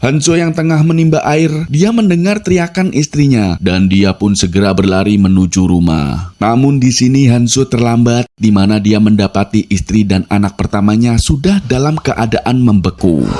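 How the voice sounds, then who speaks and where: A man with a medium-pitched voice speaks at a moderate pace with hardly any pauses, his loudness very even and his pitch swinging very widely, over noticeable background noise. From Java, Indonesia. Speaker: movie recap narrator. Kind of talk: scripted narration.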